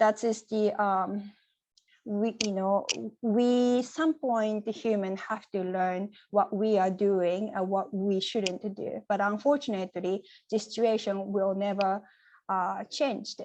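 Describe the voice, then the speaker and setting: Spoken with a Japanese accent at a very slow pace, the voice has a dark, mellow tone and fairly even intonation. The background stays quiet. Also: woman, medium pitch for a woman. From Japan, Nagoya. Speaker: poet. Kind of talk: Q&A answers. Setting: video call. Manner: halting.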